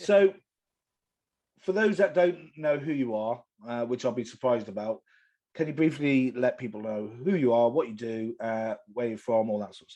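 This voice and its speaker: Delivered at a moderate pace, the voice has a dark, mellow tone and lively intonation. Its loudness swings widely, and the background is quiet. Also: man, medium pitch for a man. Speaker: podcast host. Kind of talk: podcast interview.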